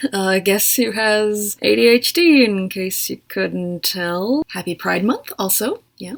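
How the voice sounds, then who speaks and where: A woman speaks quietly at a very slow pace, her pitch medium and her intonation lively. She leaves hardly any pauses. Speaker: video essayist. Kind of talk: casual commentary video essay.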